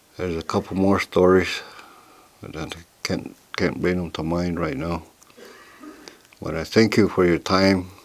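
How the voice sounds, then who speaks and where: Over noticeable background noise, a man with a very deep, low pitch talks at a moderate pace, with long, frequent pauses and big swings in loudness. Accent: American. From Oklahoma, Cheyenne community. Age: 60s. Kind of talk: oral history storytelling. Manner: halting, with repetitions.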